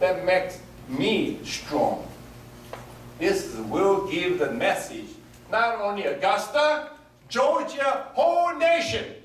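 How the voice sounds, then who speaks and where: With a Korean accent, a man speaks very slowly at an extremely high pitch with very wide pitch swings, very even loudness and long, frequent pauses, amid audible room echo and noticeable background noise. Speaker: political candidate. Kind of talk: campaign speech. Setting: rally with audience. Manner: animated.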